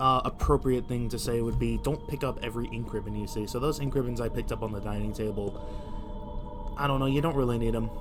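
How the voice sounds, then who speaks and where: Over music in the background and with audible room echo, a man talks at a fairly quick pace with hardly any pauses. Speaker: gaming YouTuber. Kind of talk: let's play commentary. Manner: stuttering; casual, halting.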